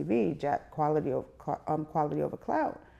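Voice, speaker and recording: Against a quiet background, a woman talks fairly quickly. Her voice is very deep and low, with a dark, mellow tone. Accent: New York. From New York City. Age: 30s. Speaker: media personality. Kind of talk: interview.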